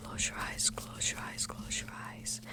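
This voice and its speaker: Someone whispers at a moderate pace. Noticeable background noise comes through. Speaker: ASMR content creator playing a clinician. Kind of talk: ASMR roleplay, soft-spoken medical exam. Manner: soft-spoken.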